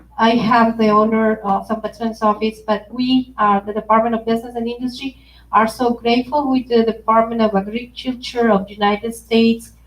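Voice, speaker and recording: A woman with a Spanish accent talks at a moderate pace. Her voice is fairly high in pitch. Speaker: consumer protection official. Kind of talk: workshop presentation. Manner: code-switching Spanish and English.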